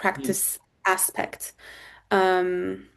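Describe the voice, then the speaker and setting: A woman with a Turkish accent. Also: quiet background. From Turkey. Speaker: corporate lawyer. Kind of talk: interview answer.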